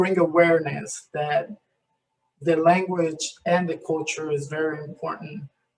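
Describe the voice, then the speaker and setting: In a Spanish accent, a man speaks at a high pitch and a fairly slow pace with fairly even intonation. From Colombia. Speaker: community health program worker. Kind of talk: presentation in online breakout session. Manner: halting, many repeated words.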